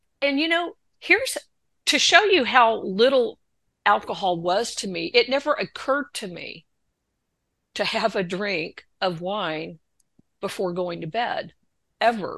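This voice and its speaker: A woman's fairly high, bright, sharp voice with an American accent, very wide pitch swings, a fairly slow pace and long, frequent pauses against a quiet background. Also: big swings in loudness. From Texas. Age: 60s. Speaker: author in recovery. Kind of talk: testimony. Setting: video call.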